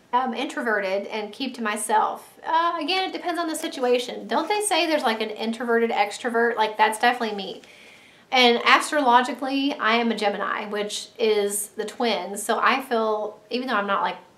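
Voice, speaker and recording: A woman's high, lively voice amid noticeable background noise and audible room echo. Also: fairly quick pace. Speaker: stay-at-home mom vlogger. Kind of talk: casual chat to camera. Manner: straining to talk loud. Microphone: built-in camera mic.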